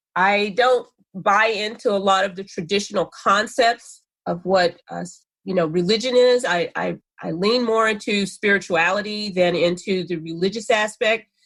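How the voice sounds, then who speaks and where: In a very clean recording with a silent background, a woman with an unremarkable speaking voice talks at medium pitch and a moderate pace, with ordinary pitch variation. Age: 60s. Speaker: spiritual minister and life coach. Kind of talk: interview conversation.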